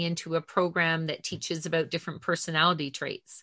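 The voice has a bright, sharp tone and a moderate pace against a quiet background. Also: woman. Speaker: podcast host. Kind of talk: casual interview.

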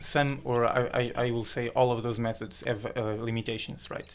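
Monotone, flat intonation marks this man's speech. His pitch is medium and his pace moderate. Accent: Portuguese. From Portugal. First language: Portuguese. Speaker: doctoral student in engineering. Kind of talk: interview. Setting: studio. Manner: halting.

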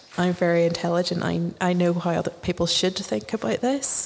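With a Northern Irish accent and a medium pitch, a woman speaks at a moderate pace over noticeable background noise. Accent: Northern Irish (Ulster). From Northern Ireland. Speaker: novelist. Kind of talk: interview. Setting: festival radio studio.

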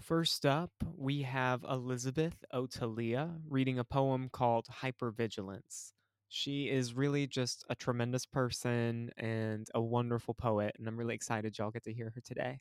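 On a very clean recording, silent background, a man of medium pitch with an ordinary speaking voice talks at a moderate pace and fairly even intonation. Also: dry, close sound with no echo. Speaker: podcast host. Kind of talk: casual podcast hosting, warm intro and outro. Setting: virtual open mic, podcast recording.

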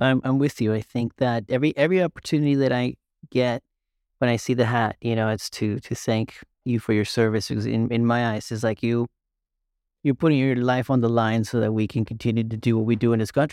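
Against a quiet background, a man with an ordinary speaking voice talks at a fairly quick pace and medium pitch. The sound is dry and close with no echo, and his intonation stays fairly even. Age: 30s. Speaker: podcast host. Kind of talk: interview.

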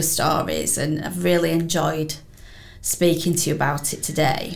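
A woman with a Yorkshire accent speaks at a fairly slow pace in a fairly low voice. There is audible echo in the room. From Wakefield, West Yorkshire. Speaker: podcast host. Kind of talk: interview. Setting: studio.

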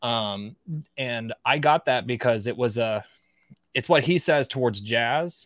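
Speaking at a fairly slow pace, a man has a normal speaking voice at medium pitch with ordinary pitch variation. The sound is dry and close with no echo, in a very clean recording over a silent background. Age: 30s. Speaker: offensive cybersecurity expert and author. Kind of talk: casual interview chat. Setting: live stream.

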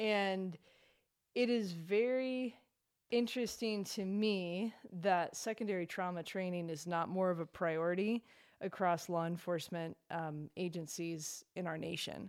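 In a very clean recording with a silent background, a woman with an unremarkable speaking voice talks at a fairly slow pace, medium pitch and ordinary pitch variation. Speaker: author and victim's advocate. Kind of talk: casual chat.

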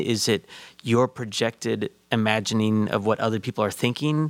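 This man has a plain, everyday voice with an American accent, medium pitch and ordinary pitch variation, speaking at a moderate pace. The recording is very clean, with a silent background. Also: dry, close sound with no echo. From Chicago. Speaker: associate pastor and counselor. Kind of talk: casual discussion.

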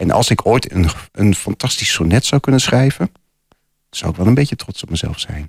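With an unremarkable speaking voice, a man talks at a moderate pace in a fairly low pitch, using lively intonation. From Losser, Twente, Netherlands. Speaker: poet and piano teacher. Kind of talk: radio interview. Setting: studio.

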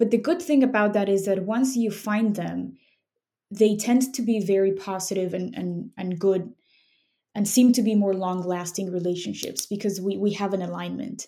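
A woman with a Spanish accent, dark and mellow in tone, medium in pitch, at a moderate pace with ordinary pitch variation. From Mexico City. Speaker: snack company founder and immigration lawyer. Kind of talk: interview.

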